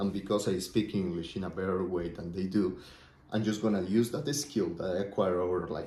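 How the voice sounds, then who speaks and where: With audible room echo, a man talks at a fairly quick pace in a dark, mellow tone and a fairly low pitch. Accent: Spanish. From Colombia. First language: Spanish. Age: 20s. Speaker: entrepreneur vlogger. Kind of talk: casual vlog monologue. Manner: thinking out loud, conversational.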